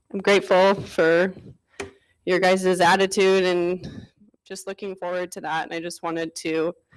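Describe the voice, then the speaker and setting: A shaky woman speaks at a fairly slow pace and medium pitch in a flat monotone, with big swings in loudness and long, frequent pauses. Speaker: resident speaking at public comment. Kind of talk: public comment at council meeting. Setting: council chamber. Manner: shaky, emotional.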